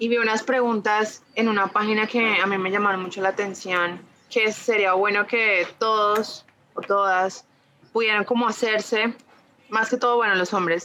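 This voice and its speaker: A woman talks in a fairly high register, her intonation flat and monotone. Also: moderate pace. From Colombia, Ibagué. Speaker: feminist theology content creator. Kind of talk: casual interview chat.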